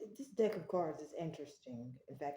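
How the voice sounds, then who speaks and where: Her voice is strained, with a dark, mellow tone. The woman talks at a fairly quick pace. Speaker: tarot reader. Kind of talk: tarot reading. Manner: gets loud when passionate; restrained volume for neighbors.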